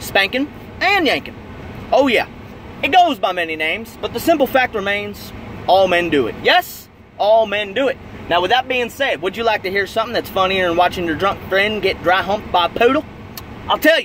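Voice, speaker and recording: A man at a moderate pace with long, frequent pauses, a dry sound with no echo and light background noise. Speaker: comedic vlogger. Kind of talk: casual comedic rant. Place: car. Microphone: phone near.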